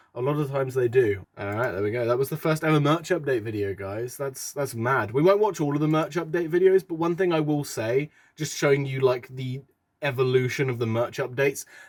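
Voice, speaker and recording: Here a man speaks with a British accent at a fairly quick pace. His pitch is fairly high with ordinary variation, and the recording is very clean with a silent background. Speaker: YouTuber. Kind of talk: reaction video commentary. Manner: casual, self-deprecating.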